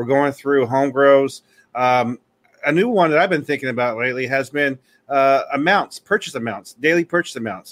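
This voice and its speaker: A man talks at a moderate pace with a fairly high pitch and ordinary pitch variation. The sound is dry and close with no echo, and his is an unremarkable speaking voice. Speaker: podcast co-host. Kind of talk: casual chat.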